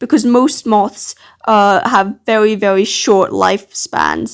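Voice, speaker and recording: At a fairly slow pace, the speaker talks in a British accent with ordinary pitch variation. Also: woman. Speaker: art channel creator. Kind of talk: casual narration. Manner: halting, stuttering.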